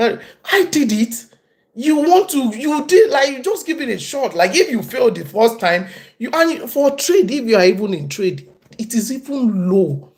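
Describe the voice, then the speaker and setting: The voice carries a southwestern Nigerian accent. It moves at a moderate pace. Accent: Nigerian, Abeokuta. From Nigeria, Abeokuta. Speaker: tradesperson and livestreamer. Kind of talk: casual livestream talk. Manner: halting.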